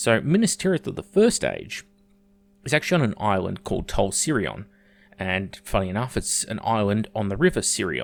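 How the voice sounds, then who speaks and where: An Australian-accented man with very wide pitch swings, on a very clean recording with a silent background. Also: medium pitch for a man, moderate pace. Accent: thick Australian. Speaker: YouTuber, lore explainer. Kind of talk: video essay. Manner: casual, occasional hesitations.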